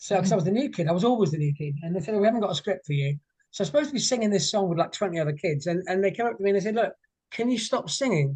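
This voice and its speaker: Speaking very fast, a man has an English accent and a high pitch. His intonation is lively. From England, moved around north and south. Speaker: singer. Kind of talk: interview. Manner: halting.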